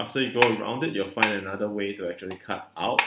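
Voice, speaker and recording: A man mumbles his words. Background noise is noticeable behind him. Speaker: board game streamer. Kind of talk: live gameplay commentary. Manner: mumbling; hesitant with many fillers.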